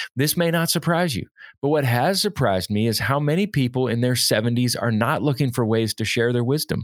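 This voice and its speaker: On a very clean recording with a silent background, a man with an ordinary speaking voice and medium pitch talks at a fairly quick pace, his loudness very even and his intonation lively. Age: 40s. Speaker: podcast host, leadership consultant. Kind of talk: solo podcast monologue.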